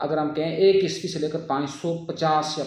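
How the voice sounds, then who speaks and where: With fairly even intonation, a man talks in a normal speaking voice. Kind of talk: political commentary talk.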